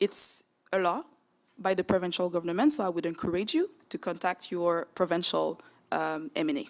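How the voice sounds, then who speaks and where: A woman speaks in a Quebec French accent at a fairly low pitch. Her pace is moderate and her pitch varies in an ordinary way. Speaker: borough mayor. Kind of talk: council meeting answer. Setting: borough council meeting. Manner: halting.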